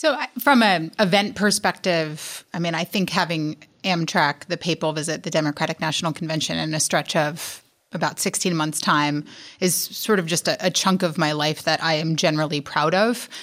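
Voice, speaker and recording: An ordinary speaking voice from a woman with an American accent, fairly low in pitch, on a very clean recording with a silent background. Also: ordinary pitch variation, moderate pace. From New York. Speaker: emergency management director and academic. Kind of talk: panel interview.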